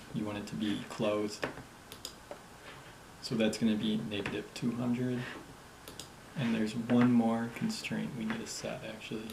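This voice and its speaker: Quiet speech broken by long, frequent pauses, with noticeable background noise. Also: moderate pace. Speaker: app development tutor. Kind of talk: screen-recorded coding tutorial. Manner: quiet, low volume; casual.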